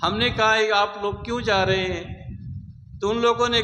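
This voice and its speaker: A man talks in a raised, projected voice, pitched high, with monotone, flat intonation. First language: not Hindi; learned Hindi later (speaking Hindi). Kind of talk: speech to a camp audience.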